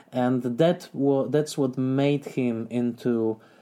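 A dark, mellow tone with a Polish accent and ordinary pitch variation comes through on a very clean recording with a silent background. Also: man. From southern Poland. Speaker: film critic and scholar. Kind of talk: interview.

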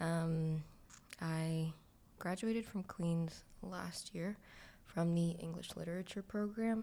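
A woman with a Toronto accent, a fairly low pitch, a dark, mellow tone, fairly even intonation, a very slow pace and long, frequent pauses. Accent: Toronto Canadian English. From Toronto (Scarborough), Canada. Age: 20s. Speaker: recent graduate, writer and dancer. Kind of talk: casual chat.

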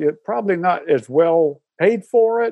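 This man speaks with a Southern US accent. His voice is high in pitch, with a dark, mellow tone. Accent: Southern American. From US South, Atlanta, Georgia. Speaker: retired engineering professor. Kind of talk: casual interview.

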